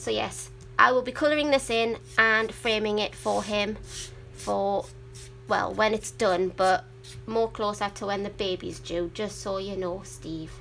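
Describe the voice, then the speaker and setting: A woman in a Geordie accent, at a fairly slow pace. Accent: Geordie; sometimes mistaken for Welsh. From northern England, Newcastle upon Tyne. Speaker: adult colouring hobbyist YouTuber. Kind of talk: casual livestream chat. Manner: chatty, rambling with fillers.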